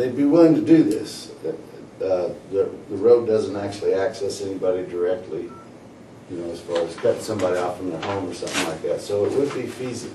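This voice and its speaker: A man with an American accent talks at a very fast pace with big swings in loudness, against noticeable background noise. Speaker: county commissioner. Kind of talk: public meeting.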